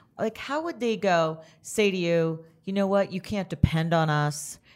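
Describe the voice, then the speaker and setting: On a very clean recording with a silent background, a woman speaks at a moderate pace. It is a plain, everyday voice, fairly low in pitch. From Canada. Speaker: podcast host. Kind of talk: interview. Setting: studio.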